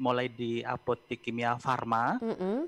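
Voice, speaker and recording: This man has a normal speaking voice at a medium pitch. He talks at a moderate pace. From East Java. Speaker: pharmaceutical promotion manager; guest. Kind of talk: interview. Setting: video call. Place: home room. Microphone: video call.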